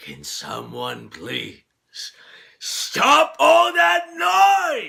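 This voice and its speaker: A man in a raspy put-on character voice at a very slow pace. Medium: solo performance. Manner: theatrical, grandly villainous.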